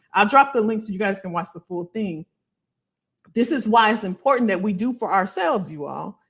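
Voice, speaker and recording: Over a very clean recording with a silent background, a woman speaks fairly quickly at a medium pitch with ordinary pitch variation and big swings in loudness. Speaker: career coach. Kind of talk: livestream talk. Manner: animated; fast.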